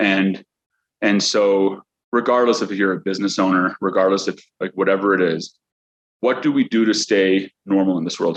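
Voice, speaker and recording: In a Chicago accent, a man with a fairly low pitch speaks with fairly even intonation, the sound dry and close with no echo. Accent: Chicago American English. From US Midwest, Chicago. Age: 30s. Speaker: accountant and business owner. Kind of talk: motivational talk. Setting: at home after workout. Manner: halting, many repetitions and fillers.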